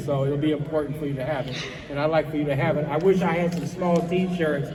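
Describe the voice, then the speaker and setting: Noticeable background noise and audible room echo surround the recording. A man talks at a very fast pace with monotone, flat intonation. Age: 60s. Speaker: retired police commander giving a talk to students. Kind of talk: motivational talk to an audience. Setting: room with live audience of young people. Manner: conversational, repeats words.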